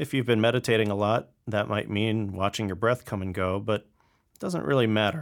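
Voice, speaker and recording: A man with an unremarkable speaking voice talks at a fairly quick pace, his pitch fairly low with ordinary pitch variation. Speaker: meditation teacher. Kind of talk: guided meditation. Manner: gentle, with long pauses.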